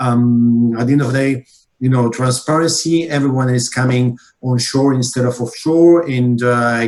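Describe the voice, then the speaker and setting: At a moderate pace, a man with a non-native accent speaks at medium pitch. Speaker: conference moderator. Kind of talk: moderated Q&A. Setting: online workshop. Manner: halting, many fillers and repetitions.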